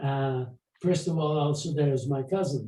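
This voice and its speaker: A man with a fairly high pitch and a dark, mellow tone speaks very slowly and somewhat breathily. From Poland (today western Ukraine). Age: 80s+. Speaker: Holocaust survivor. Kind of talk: testimony and Q&A. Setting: video call. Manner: halting.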